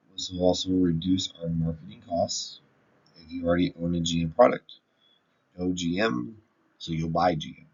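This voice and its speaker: A man with a very deep, low pitch speaks at a moderate pace with ordinary pitch variation. His loudness swings widely, and he takes long, frequent pauses. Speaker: university business student. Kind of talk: class assignment presentation.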